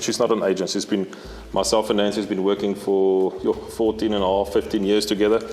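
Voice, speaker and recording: Over noticeable background noise, a man moves along at a fairly quick pace. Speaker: safari outfitter. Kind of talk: casual interview chat.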